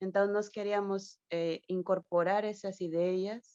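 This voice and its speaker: The voice has a dark, mellow tone and monotone, flat intonation at a fairly slow pace, with a dry, close sound free of echo and a quiet background. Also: woman. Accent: Spanish. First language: Spanish (speaking Portuguese). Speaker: academic historian. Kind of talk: question at online panel. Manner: halting.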